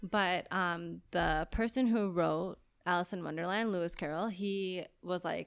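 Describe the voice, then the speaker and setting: On a very clean recording with a silent background, a woman speaks at a medium pitch in a plain, everyday voice. Her pace is moderate, with ordinary pitch variation. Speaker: podcast host and photographer. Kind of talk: casual chat.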